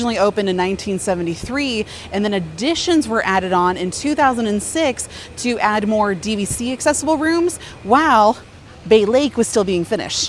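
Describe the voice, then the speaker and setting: Over noticeable background noise, a woman speaks in an animated tone at a fairly quick pace, with fairly high pitch and lively intonation. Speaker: Disney vlogger. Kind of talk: vlog with history narration.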